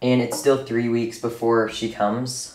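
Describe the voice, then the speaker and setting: A man delivers his words fairly quickly, and the room echo is audible. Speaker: reptile keeper YouTuber. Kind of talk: tutorial. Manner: casual, filler-heavy.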